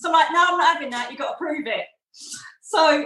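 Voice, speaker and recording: A woman talks with an Essex accent. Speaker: psychic medium and former police detective. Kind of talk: interview. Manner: animated.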